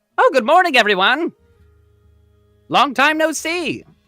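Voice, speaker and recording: With faint music behind him, a man uses a put-on character voice pitched extremely high, talking at a moderate pace. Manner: excited, cheery.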